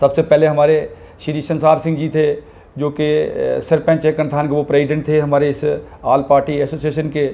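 Speaking at a fairly slow pace, a man keeps his intonation monotone and flat. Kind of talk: press conference statement. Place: home room.

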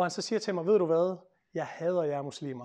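His words come out very fast. Behind the man, all is quiet. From Denmark. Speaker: lawyer and author; speaker. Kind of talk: public talk. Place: meeting room. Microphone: lapel.

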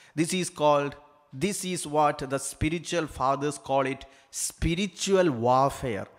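The background stays quiet. A man talks at a fairly slow pace, his pitch varying in an ordinary way. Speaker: priest. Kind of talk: sermon. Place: church. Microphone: handheld.

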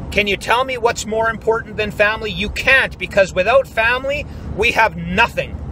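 A man talks at a moderate pace in a high voice with fairly even intonation. The sound is dry with no echo, over light background noise. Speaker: YouTube vlogger. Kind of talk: angry rant; vlog monologue. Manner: forceful, emphatic, blunt. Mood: upset, worried, indignant. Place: car. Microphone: phone near.

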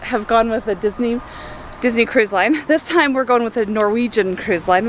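A woman speaks at a moderate pace with ordinary pitch variation, in a dry sound with no echo and light background noise. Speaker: family vlogger. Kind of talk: casual vlog chat. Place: street. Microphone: phone near.

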